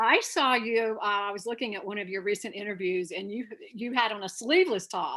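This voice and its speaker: A woman's bright, sharp tone with a slight Southern accent, fairly quick pace and ordinary pitch variation. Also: medium pitch for a woman. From North Carolina. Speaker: actor. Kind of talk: interview.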